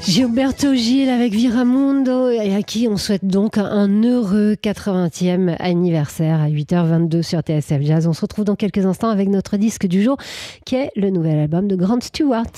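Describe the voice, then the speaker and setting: Lively intonation rides over a dark, mellow tone, the pace fairly slow and the loudness very even. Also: woman, medium pitch for a woman. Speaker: radio host. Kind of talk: radio DJ patter, live jazz morning show chat. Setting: radio studio. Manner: warm, playful, chatty and affectionate.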